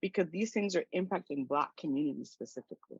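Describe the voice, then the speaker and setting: A woman with a Spanish accent speaks with very wide pitch swings, recorded dry and close with no echo. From Panama. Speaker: activist and coach. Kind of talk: interview conversation.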